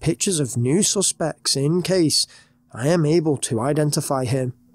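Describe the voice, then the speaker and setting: A man with a British accent speaks at a fairly high pitch and a moderate pace, his intonation lively. The recording is very clean with a silent background and a dry, close sound with no echo. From Britain. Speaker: horror story narrator. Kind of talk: reading aloud.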